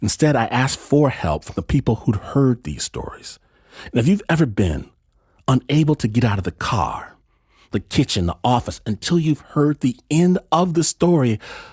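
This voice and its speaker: A man's voice moves through very wide pitch swings. It sounds somewhat breathy. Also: medium pitch for a man, moderate pace. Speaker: podcast host. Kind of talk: podcast intro and fundraising appeal.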